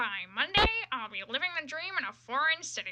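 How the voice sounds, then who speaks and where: A woman puts on a nasal, whiny character voice pitched high. She talks at a moderate pace with very wide pitch swings. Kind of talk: amateur cartoon impression. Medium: read story. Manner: whiny, condescending.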